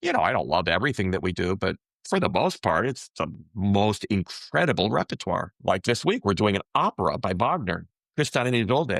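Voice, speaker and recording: A man speaks fairly quickly at a fairly low pitch. His intonation is lively and his loudness very even. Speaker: orchestra concertmaster, violinist. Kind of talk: interview. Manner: animated.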